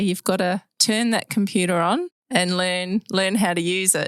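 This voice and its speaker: In an Australian accent, a woman speaks at a fairly low pitch and a fairly slow pace with fairly even intonation, the sound dry and close with no echo on a very clean recording with a silent background. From Western Australia. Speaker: podcast host. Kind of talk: scripted introduction; casual chat.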